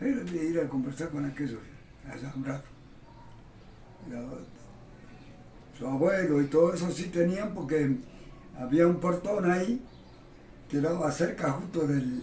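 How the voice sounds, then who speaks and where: A man with a fairly high voice speaks at a fairly slow pace, leaving long, frequent pauses. Room echo is audible. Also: ordinary pitch variation. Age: 80s+. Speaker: retired railway workshop worker, interviewee. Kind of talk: oral history interview.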